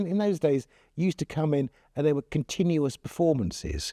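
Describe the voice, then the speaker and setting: With a West Country accent, a man speaks at a fairly high pitch in a dark, mellow tone, the sound dry and close with no echo. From Devon, England (Torquay). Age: 60s. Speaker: local resident sharing memories. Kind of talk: interview testimony. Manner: halting.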